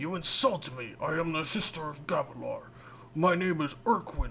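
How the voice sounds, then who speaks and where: A man does a put-on character voice that is raspy and high-pitched. Clear background noise is present. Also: moderate pace. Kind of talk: formal, haughty. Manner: put-on, menacing.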